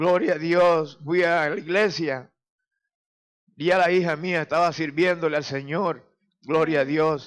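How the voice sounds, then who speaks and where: A man with a fairly high pitch speaks at a very slow pace, using fairly even intonation and long, frequent pauses. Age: 60s. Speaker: church member giving testimony. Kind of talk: testimony.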